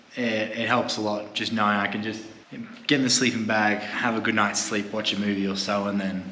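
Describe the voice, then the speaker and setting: Over noticeable background noise and audible room echo, a man with an Australian accent speaks in a monotone, flat intonation. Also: fairly low pitch for a man, fairly quick pace. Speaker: travel vlogger. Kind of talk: casual vlog narration.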